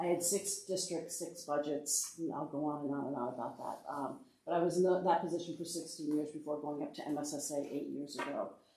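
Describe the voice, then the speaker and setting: With hardly any pauses, a woman with a very deep, low pitch talks at a fairly quick pace and fairly even intonation amid audible room echo. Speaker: education association director, former superintendent. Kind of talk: workshop presentation. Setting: board meeting room, in person. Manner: fast; many fillers (uh, um).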